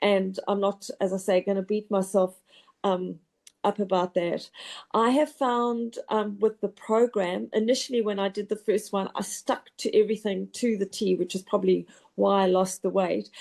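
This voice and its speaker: Over a quiet background, a woman with a normal speaking voice talks at a moderate pace and medium pitch, her intonation fairly even. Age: 60s. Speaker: program participant, marathon runner. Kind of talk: testimony.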